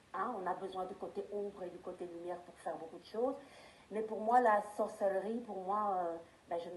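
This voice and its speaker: A woman's voice with fairly even intonation and big swings in loudness, amid audible room echo and noticeable background noise. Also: medium pitch for a woman, moderate pace. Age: 50s. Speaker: tarot reader. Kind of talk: interview. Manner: hesitant, with frequent fillers.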